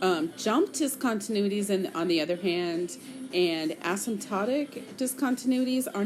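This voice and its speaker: Her intonation lively and her pace moderate, a woman speaks against noticeable background noise. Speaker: math teacher. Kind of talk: lecture.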